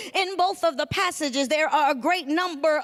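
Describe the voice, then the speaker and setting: A woman speaks at an extremely high pitch. Her pitch variation is ordinary. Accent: Georgia. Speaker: pastor. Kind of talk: sermon.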